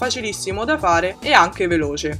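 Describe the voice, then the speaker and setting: The voice swings very widely in pitch at a moderate pace. Music plays in the background. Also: woman. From Italy. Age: 20s. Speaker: vegan food YouTuber. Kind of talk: recipe voice-over. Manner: casual, friendly.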